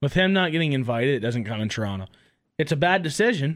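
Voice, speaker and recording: Against a silent background in a very clean recording, a man speaks at a very fast pace with very wide pitch swings. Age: 20s. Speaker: hockey podcast co-host. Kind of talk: casual chat.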